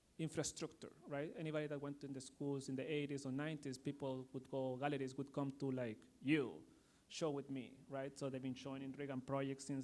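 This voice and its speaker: Speaking with a non-native accent, a man at a fairly high pitch moves at a fairly quick pace in a monotone, flat intonation. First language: not English. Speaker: artist and art school program director. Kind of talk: panel discussion. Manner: halting.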